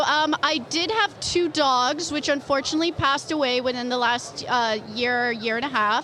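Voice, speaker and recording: The voice is raised and projected. Noticeable background noise is present. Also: woman. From Canada. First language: Polish. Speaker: comic book artist. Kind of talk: interview.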